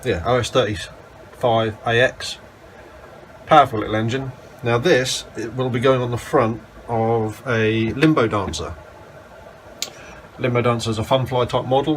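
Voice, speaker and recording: A man of medium pitch talks at a moderate pace with long, frequent pauses against noticeable background noise. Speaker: model aircraft hobbyist. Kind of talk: casual talk to camera.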